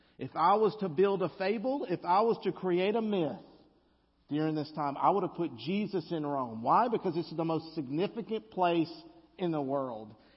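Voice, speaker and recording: Speaking in a Southern US accent, a man with a high pitch uses lively intonation. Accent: Southern US drawl. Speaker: guest preacher. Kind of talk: sermon. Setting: church.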